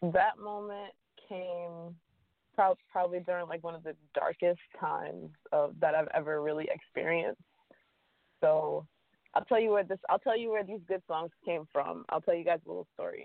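Here is a plain, everyday voice from a woman, fairly low in pitch with fairly even intonation. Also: moderate pace. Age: 30s. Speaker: singer. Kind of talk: interview.

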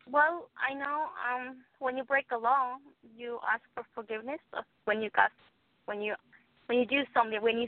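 A woman speaks in a Guatemalan accent with a high pitch. Her pace is moderate and her pitch variation ordinary. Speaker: immigrant sharing her faith story. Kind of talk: testimony. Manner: halting, searches for words.

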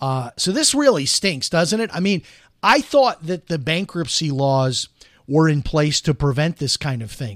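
In a very clean recording with a silent background and a dry, close sound with no echo, a man with a plain, everyday voice and an American accent talks fairly slowly at a fairly high pitch with lively intonation. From US Midwest, Chicago. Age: 50s. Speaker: radio host. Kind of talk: casual talk radio commentary. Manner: conversational, with many filler words.

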